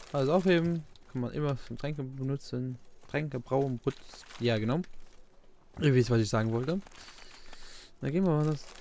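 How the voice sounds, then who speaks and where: With a dark, mellow tone and a fairly high pitch, a man talks at a moderate pace with ordinary pitch variation and long, frequent pauses. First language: Luxembourgish (speaking German). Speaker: let's play gamer. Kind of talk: gameplay commentary. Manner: halting.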